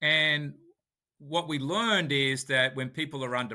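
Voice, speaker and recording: With a Sydney accent, the speaker talks at a moderate pace with ordinary pitch variation. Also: man. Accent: Australian (Sydney). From Sydney, Australia. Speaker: author and company founder. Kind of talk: podcast interview. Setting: remote call.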